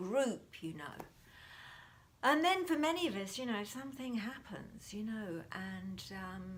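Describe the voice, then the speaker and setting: Calm, soft-spoken whispering from a woman at a moderate pace, with audible room echo. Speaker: mindfulness teacher. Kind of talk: talk to camera on mindfulness. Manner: soft, whispering.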